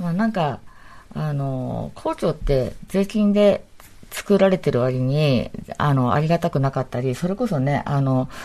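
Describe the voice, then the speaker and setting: A woman speaks with a very deep, low pitch and a dark, mellow tone. Her pace is fairly slow. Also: lively intonation. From Ibaraki, Japan. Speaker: architecture and urban design figure. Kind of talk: radio panel discussion.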